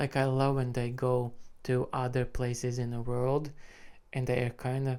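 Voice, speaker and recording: Someone speaks with a Latvian accent on a very clean recording with a silent background. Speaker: music reaction YouTuber. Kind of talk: casual commentary to camera. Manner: casual, filler-heavy.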